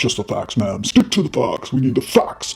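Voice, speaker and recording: A man speaks in a put-on character voice at a medium pitch and a fairly quick pace. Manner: clipped, serious.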